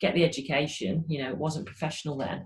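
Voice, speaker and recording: With a northern English accent, a woman speaks at a very deep, low pitch with fairly even intonation. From northern England, Grimsby, Lincolnshire. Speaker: cricket coach. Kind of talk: interview. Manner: hesitant, many repeated words.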